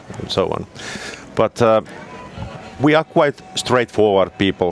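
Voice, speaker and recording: The recording is dry and close with no echo, and music plays in the background. Speech comes at a fairly slow pace in a Finnish accent with lively intonation. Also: man, medium pitch for a man. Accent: Finnish, rolling R's. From Finland. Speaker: snowmobile product specialist. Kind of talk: casual interview chat. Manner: halting, with fillers.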